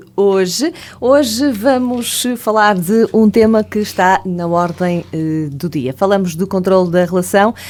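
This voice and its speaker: Speaking at a fairly slow pace, a woman with a plain, everyday voice uses lively intonation at a medium pitch. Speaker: radio host and psychologist. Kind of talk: radio talk show hosting.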